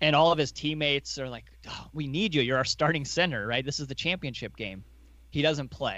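Against a quiet background, a man uses a fairly high pitch and a bright, sharp tone with vocal fry and ordinary pitch variation. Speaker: podcast co-host, investor. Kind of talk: casual chat about investing.

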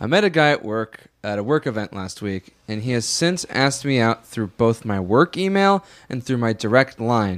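A man talks in a plain, everyday voice. His pace is moderate. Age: 20s. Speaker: podcast host. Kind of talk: casual chat.

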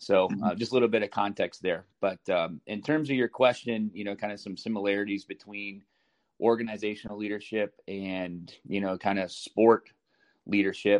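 A man with an American accent talks at a moderate pace, his pitch fairly low and his intonation fairly even. It is an unremarkable speaking voice, recorded dry and close with no echo against a quiet background. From US Midwest, Chicago. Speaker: youth soccer director and coach. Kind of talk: interview.

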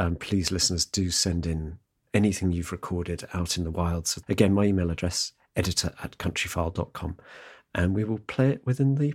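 Very deep, low male pitch with ordinary pitch variation and a moderate pace, on a very clean recording with a silent background. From Somerset, England. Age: 50s. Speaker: podcast host. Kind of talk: casual chat; scripted narration. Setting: outdoors.

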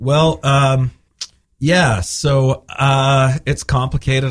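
This man's voice is somewhat breathy. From Spain. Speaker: singer-songwriter and bandleader. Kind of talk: casual interview. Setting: radio studio.

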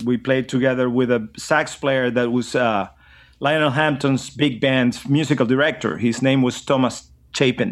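Speaking with a Venezuelan accent, a man at medium pitch keeps a moderate pace, fairly even intonation and very even loudness in a very clean recording with a silent background. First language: Spanish. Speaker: drummer and educator. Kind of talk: casual interview chat.

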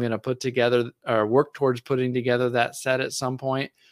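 A man's medium-pitched voice at a fairly quick pace, an ordinary speaking voice, dry and close with no echo, on a very clean recording over a silent background. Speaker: podcaster and card collector. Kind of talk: casual chat.

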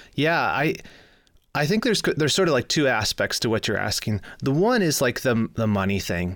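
A man with a Midwestern American accent speaks at a fairly high pitch and a moderate pace, with very wide pitch swings. His loudness stays very even, and the recording is very clean with a silent background. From US Midwest, Michigan. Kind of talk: casual interview chat.

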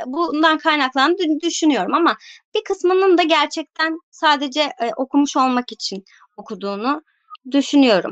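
A woman speaks at a moderate pace with ordinary pitch variation, her sound dry and close with no echo. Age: 30s. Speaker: book content creator. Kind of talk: casual chat.

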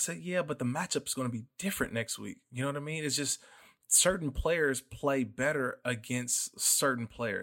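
Speaking in an ordinary speaking voice, a man with an American accent uses a medium pitch, a fairly quick pace and ordinary pitch variation on a very clean recording with a silent background. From Oakland, California. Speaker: football analyst and former NFL player. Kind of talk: casual sports podcast chat.

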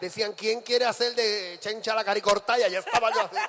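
An animated man at a moderate pace, with noticeable background noise. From Puerto Rico, Ponce. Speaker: drag performer and emcee. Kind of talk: stage hosting. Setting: stage with live audience.

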